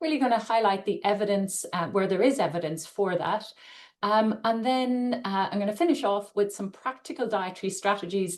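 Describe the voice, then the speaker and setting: Someone with an Irish accent speaks at a moderate pace with ordinary pitch variation. Room echo is audible. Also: woman, medium pitch for a woman. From Ireland. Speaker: nutrition scientist and dietitian. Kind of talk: webinar lecture. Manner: hesitant, many fillers.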